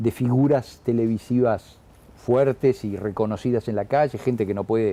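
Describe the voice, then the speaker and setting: This man has a dark, mellow tone and a medium pitch. He talks at a moderate pace with fairly even intonation. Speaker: actor. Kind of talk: interview. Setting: newsroom. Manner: halting, many repetitions.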